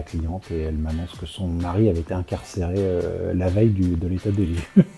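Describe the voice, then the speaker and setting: A man speaks with music in the background. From Normandy, France. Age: 60s. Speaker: real estate professional. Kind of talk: interview. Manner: hesitant, many fillers.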